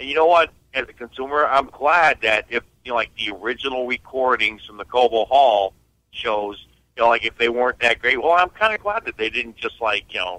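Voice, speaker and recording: A man with a normal speaking voice, medium pitch, a fairly quick pace and ordinary pitch variation. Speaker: caller. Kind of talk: call-in question on a radio show. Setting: phone call.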